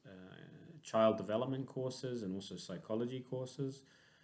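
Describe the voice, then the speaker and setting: This is a man's voice. He speaks with a New Zealand accent. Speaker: clinical psychologist. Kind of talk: conference lecture. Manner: hesitant, many fillers.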